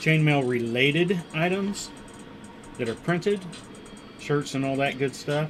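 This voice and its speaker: The speaker mumbles at a very slow pace. Music plays in the background. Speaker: maker livestreamer. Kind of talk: casual livestream commentary while working. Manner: mumbling.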